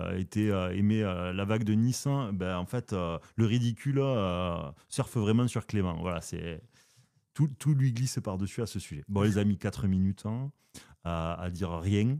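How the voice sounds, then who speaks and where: In a very clean recording with a silent background, a man with a southern French accent speaks at a moderate pace, his fairly low pitch carrying ordinary variation and a dark, mellow tone. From southern France. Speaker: philosophy podcast host. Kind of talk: casual philosophical discussion. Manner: hesitant, many fillers.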